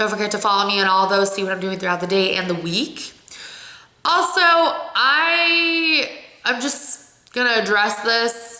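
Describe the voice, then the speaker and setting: A woman with an American accent, fairly high pitch and lively intonation, amid noticeable background noise and audible room echo. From Ohio. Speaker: vlogger. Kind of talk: casual vlog talk. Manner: expressive.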